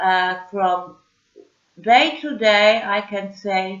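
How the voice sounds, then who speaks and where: A woman with a non-native accent talks very slowly at a medium pitch. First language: German. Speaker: vlogger. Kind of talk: casual video message. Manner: halting, many fillers.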